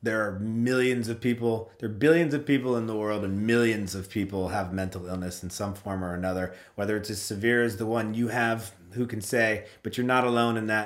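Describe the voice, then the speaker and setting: At a fairly quick pace and with hardly any pauses, a man talks in a fairly low voice with fairly even intonation and audible room echo. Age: 40s. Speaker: podcast host. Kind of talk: casual chat.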